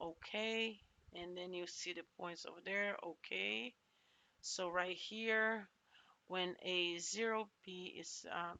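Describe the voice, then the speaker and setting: The speaker talks at a very slow pace with fairly even intonation. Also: woman. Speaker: math tutor. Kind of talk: tutorial. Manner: halting.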